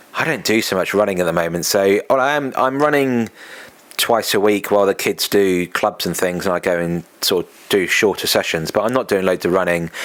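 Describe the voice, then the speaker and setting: At a fairly quick pace, a man talks with an English accent. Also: ordinary pitch variation. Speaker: podcast host and running event organiser. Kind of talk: casual solo podcast monologue. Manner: conversational, with fillers.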